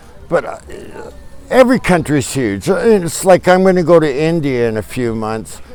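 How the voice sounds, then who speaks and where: Over background music, a man speaks at a moderate pace in a fairly high voice, with very wide pitch swings and big swings in loudness. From Canada, British Columbia. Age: 60s. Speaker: traveler. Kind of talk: casual interview chat. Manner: halting.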